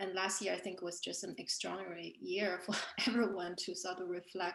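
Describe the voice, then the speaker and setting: A woman's medium-pitched voice with a Chinese accent and vocal fry. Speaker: artist and author. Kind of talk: panel discussion. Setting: online video event.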